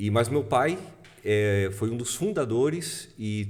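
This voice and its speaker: Against audible room echo, a man speaks at a fairly low pitch and a very slow pace. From southern Brazil, Passo Fundo (Rio Grande do Sul). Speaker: music producer and musician. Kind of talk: casual chat.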